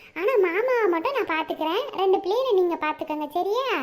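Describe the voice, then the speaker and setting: A woman does a cartoonish character voice at an extremely high pitch. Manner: soft, deferential, repeats sister.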